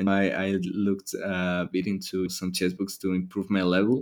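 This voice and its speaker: In a Spanish accent, the speaker reads at a fairly slow pace with monotone, flat intonation, on a very clean recording over a silent background. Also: man. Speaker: university student. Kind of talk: interview. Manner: halting.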